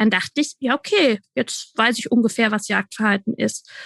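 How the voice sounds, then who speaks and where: The sound is dry and close, with no echo. A woman speaks at a moderate pace with ordinary pitch variation. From Franconia, Germany. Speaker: dog trainer. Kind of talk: casual interview chat.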